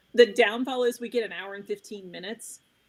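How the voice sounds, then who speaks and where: In an American accent, a woman talks at a moderate pace with a fairly high pitch. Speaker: trauma survivor and advocate, trainer. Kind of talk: interview conversation.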